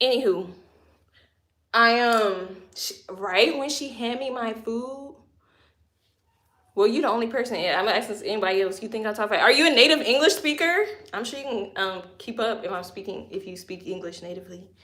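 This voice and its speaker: A woman with an American accent and a bright, sharp tone speaks at a fairly high pitch and a fairly quick pace, with lively intonation. Her loudness swings widely, and there is audible room echo. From Louisiana. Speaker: lifestyle vlogger. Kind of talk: casual livestream storytelling. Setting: home livestream. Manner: animated.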